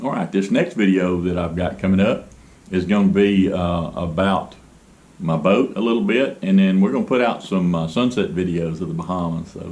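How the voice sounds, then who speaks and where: Speaking in a Southern US accent at a moderate pace, a man with a very deep, low pitch shows ordinary pitch variation amid audible room echo. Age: 60s. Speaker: boat builder and video blogger. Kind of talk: casual vlog monologue. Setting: garage. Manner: halting, many fillers.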